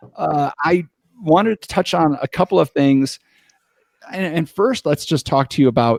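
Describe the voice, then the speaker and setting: This American-accented man is recorded very cleanly against a silent background, the sound dry and close with no echo. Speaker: podcast host. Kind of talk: casual interview.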